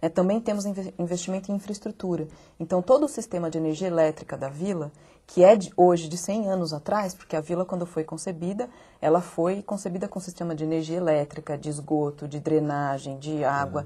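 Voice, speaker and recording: Her tone is dark and mellow, somewhat breathy, fairly low in pitch for a woman, with ordinary pitch variation and a fairly quick pace. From interior of São Paulo state, Brazil. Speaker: architect and local government official. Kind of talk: TV interview. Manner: halting, many fillers. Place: studio. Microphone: lapel.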